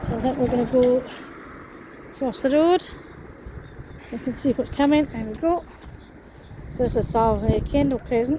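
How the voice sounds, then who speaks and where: Noticeable background noise sits under a woman's high voice at a moderate pace. Her intonation is fairly even, with long, frequent pauses. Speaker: vlogger. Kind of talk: walking vlog.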